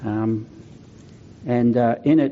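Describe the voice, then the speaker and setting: A man speaks with an Australian accent and fairly even intonation. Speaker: pastor. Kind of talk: sermon.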